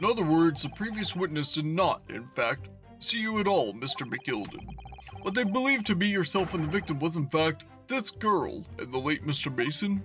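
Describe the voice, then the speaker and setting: A man puts on a character voice, pitched high and swinging very widely in pitch. He goes at a moderate pace, with clear music in the background. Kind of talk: formal courtroom speech. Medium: game stream. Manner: formal, stately.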